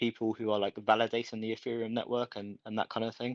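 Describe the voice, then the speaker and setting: Against a quiet background, a man with a British accent speaks at a fairly low pitch in a monotone, flat way, the sound dry and close with no echo. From UK. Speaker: crypto community member. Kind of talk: voice chat discussion. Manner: halting.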